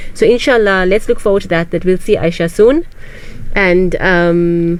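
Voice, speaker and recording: Noticeable background noise runs under a voice whose pitch varies in an ordinary way. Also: woman, medium pitch for a woman. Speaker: radio host and psychologist. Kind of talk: radio talk show. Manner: fast.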